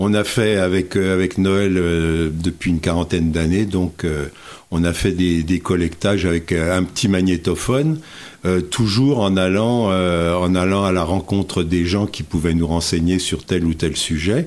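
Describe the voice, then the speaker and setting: A man talks at a fairly slow pace with a very deep, low pitch. His intonation stays fairly even and his loudness very even. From Morvan, Burgundy, France. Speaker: author and retired teacher. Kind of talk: radio interview. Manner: halting.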